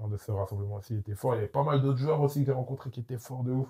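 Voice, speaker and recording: A man rattles along at a very fast pace, his medium-pitched voice full of lively intonation. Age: 20s. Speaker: football coach. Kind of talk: casual chat. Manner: animated.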